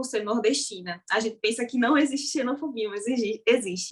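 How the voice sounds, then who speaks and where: With ordinary pitch variation, a plain, everyday voice keeps to a moderate pace. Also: woman. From Brazil, Paraíba (Northeast). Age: young. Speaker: social media content creator. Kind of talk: interview conversation. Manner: casual.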